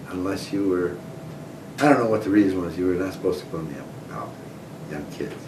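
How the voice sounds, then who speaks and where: Noticeable background noise and audible room echo mark this recording. The man speaking has an American accent. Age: 70s. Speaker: oral history interviewee. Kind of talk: oral history interview. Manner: conversational, reminiscing.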